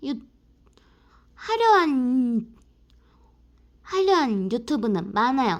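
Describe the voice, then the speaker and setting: A woman with a high voice speaks very slowly, her pitch swinging very widely, on a very clean recording with a silent background. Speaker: YouTuber. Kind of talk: personal vlog talk to camera.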